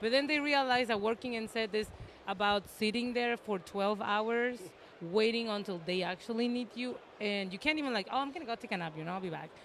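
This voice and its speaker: A woman talks at a fairly quick pace and a fairly high pitch, with noticeable background noise behind her. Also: ordinary pitch variation. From Mexico. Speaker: makeup artist and instructor. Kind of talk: casual interview. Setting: comic convention floor.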